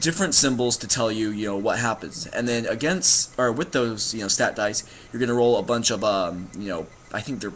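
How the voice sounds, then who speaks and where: Medium in pitch with ordinary pitch variation, a man talks at a fairly quick pace. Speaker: gaming vlogger. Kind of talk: casual explanation monologue. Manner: fast; halting, many fillers.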